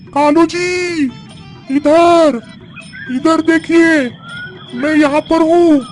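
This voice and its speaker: Over clear background music, a cartoonish character voice with a high pitch moves at a very slow pace, with long, frequent pauses. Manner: coy, sugary, overly polite.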